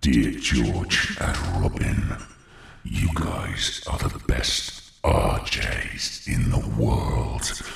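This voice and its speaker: A man drags out a raspy, put-on character voice at a very slow pace. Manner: scary.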